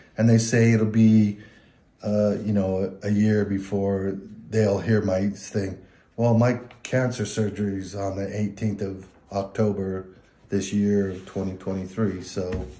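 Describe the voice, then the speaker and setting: With an American accent, this dark, mellow voice moves at a fairly slow pace in a monotone, flat intonation, with audible room echo. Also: man, fairly low pitch for a man. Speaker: army veteran. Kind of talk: testimony. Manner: halting.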